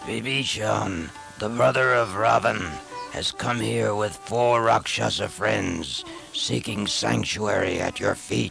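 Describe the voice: A man puts on a character voice at a fairly low pitch, with vocal fry, a fairly bright tone and ordinary pitch variation. He speaks at a slow pace over faint music in the background.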